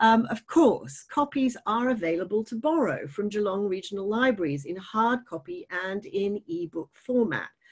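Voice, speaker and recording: Against a quiet background, a woman with a fairly high, somewhat breathy voice talks with very wide pitch swings and hardly any pauses. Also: moderate pace. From grew up outside Australia. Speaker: writer and event facilitator; event facilitator. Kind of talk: moderated author interview. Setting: online video event. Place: home room. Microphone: video call.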